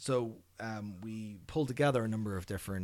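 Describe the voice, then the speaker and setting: An Irish accent with ordinary pitch variation on a very clean recording with a silent background. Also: man. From Ireland. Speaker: behavior analyst researcher. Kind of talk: podcast interview.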